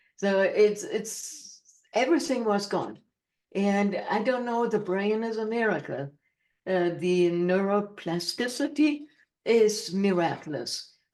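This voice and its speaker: A woman talks with a German accent at a fairly slow pace. Her pitch is medium and her intonation is lively. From Germany. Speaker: motivational speaker and author. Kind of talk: interview. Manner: chatty.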